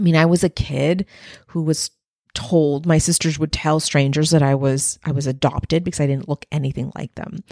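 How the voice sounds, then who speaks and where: A woman with a Spanish accent speaks in an animated tone at a fairly low pitch. The recording is very clean, with a silent background and a dry, close sound with no echo. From Texas-Mexico border. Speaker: life and leadership coach. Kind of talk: motivational podcast monologue.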